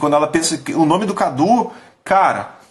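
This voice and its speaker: Noticeable background noise sits behind a man with a high pitch and an animated tone. He speaks at a moderate pace with ordinary pitch variation. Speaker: business coach / company leader. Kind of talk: live stream talk. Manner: casual, animated.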